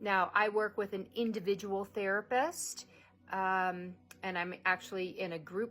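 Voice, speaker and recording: A woman with an unremarkable speaking voice talks at a fairly slow pace and a medium pitch. Her intonation is fairly even, and the recording is very clean with a silent background. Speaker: vlogger with a neurological disorder. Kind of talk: personal vlog monologue.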